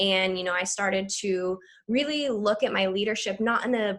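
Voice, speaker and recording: A woman speaks at a moderate pace in a plain, everyday voice, her pitch medium with ordinary pitch variation. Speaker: leadership program coordinator. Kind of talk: presentation on video call. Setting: video call.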